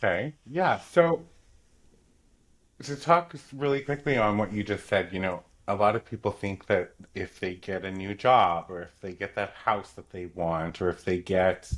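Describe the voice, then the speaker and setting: Speaking in an ordinary speaking voice, a man talks at a fairly low pitch and a fairly slow pace with lively intonation. His loudness swings widely, and the recording is very clean with a silent background. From Newfoundland, Canada. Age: 40s. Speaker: author. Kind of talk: podcast interview.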